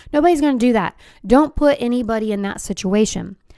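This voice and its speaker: A woman talks at a moderate pace with lively intonation on a very clean recording with a silent background. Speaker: keynote speaker and podcast host. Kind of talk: podcast monologue. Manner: loud, projecting.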